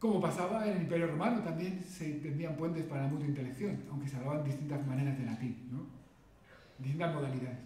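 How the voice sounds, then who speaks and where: A man talks at a very fast pace with a fairly high pitch and ordinary pitch variation, while noticeable background noise and audible room echo fill the recording. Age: 50s. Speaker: linguist and secondary school teacher. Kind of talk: lecture. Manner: halting.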